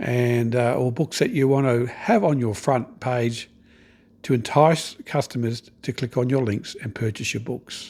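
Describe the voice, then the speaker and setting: Speaking with an Australian accent, a man keeps a fairly slow pace and fairly even intonation. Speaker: online business coach. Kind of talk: tutorial. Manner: casual, conversational.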